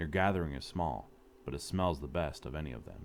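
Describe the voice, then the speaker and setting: A man puts on a gruff character voice with a very deep, low pitch. He talks at a fairly quick pace, and his pitch moves in an ordinary way. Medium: read story. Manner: gruff, grunting.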